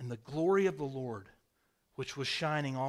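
This is a natural reading voice with a quiet background.

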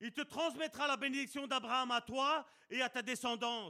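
Raised and projected, a man's voice sits at an extremely high pitch, bright and sharp in tone, moving at a fairly slow pace with ordinary pitch variation. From Belgium, Charleroi (Sicilian family). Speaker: preacher. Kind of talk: sermon.

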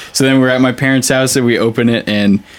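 Speaking at a very fast pace, a man with an American accent keeps his intonation fairly even. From US West Coast, San Jose, California. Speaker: touring rock guitarist. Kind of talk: casual chat.

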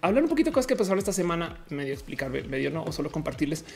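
Very wide pitch swings from a woman, with noticeable background noise behind her. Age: 30s. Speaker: streamer. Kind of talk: casual live-stream chat. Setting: home studio.

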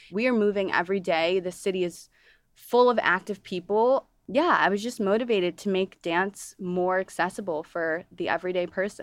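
In a plain, everyday voice with an American accent, a woman speaks at a medium pitch and moderate pace with ordinary pitch variation, on a very clean recording with a silent background. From Toledo, Ohio. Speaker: dancer turned fitness studio founder. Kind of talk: interview conversation.

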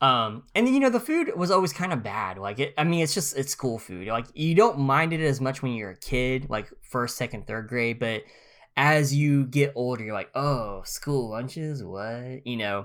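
A man with an American accent speaks at a moderate pace, hardly pausing, in a normal speaking voice. His medium-pitched intonation is lively, and the recording is very clean with a silent background. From US, northeast Oklahoma near Missouri line. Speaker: podcast co-host. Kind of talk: casual chat.

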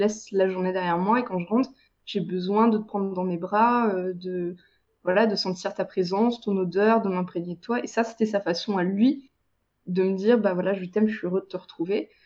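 Here is a woman with an ordinary speaking voice and medium pitch. Her pace is moderate, and her intonation is fairly even. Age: 20s. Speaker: freelance web writer. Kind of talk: casual interview.

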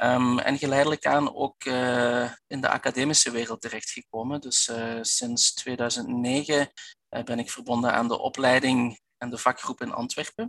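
With a Flemish accent, a man at a medium pitch speaks slowly and in a monotone, flat way, the sound dry and close with no echo. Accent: Belgian Flemish, audible. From Belgian Limburg. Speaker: physiotherapist and researcher. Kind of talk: expert interview. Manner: halting, many fillers and repetitions.

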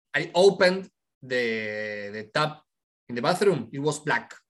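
A man speaks with a Spanish accent. His pitch swings very widely. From Argentina. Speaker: youth movement leader. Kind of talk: interview.

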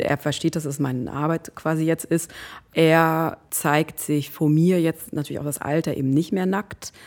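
This woman's voice comes through on a very clean recording against a silent background. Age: 40s. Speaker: body positivity activist and influencer. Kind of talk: casual chat.

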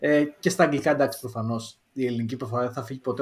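A man talks at a very fast pace in a Central Greek accent. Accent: regional Central Greek. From Greece, Lamia. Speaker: podcast co-host. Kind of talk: casual chat. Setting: online call.

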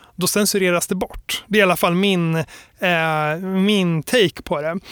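Very cleanly recorded against a silent background, dry and close with no echo, a man speaks at a moderate pace in a high pitch with ordinary pitch variation. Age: 30s. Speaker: graphic designer and lecturer. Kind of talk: interview. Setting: recorded in Stockholm.

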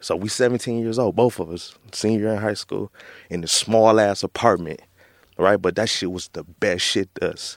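A normal speaking voice from a man with an American accent, fairly low in pitch, at a moderate pace over a silent background in a very clean recording. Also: ordinary pitch variation. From Flint, Michigan. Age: 30s. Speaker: author. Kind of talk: casual interview.

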